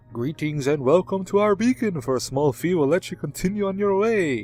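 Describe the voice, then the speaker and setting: Over faint background music, a man puts on a character voice, fairly high-pitched and fairly quick. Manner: menacing, theatrical.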